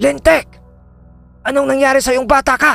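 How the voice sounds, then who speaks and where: A put-on character voice goes along at a moderate pace while faint music plays in the background. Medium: read story.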